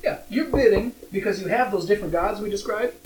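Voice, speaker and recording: Through noticeable background noise, a man with an American accent speaks at a high pitch. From Minnesota, US Upper Midwest. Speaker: board game podcast co-host. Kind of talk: casual chat.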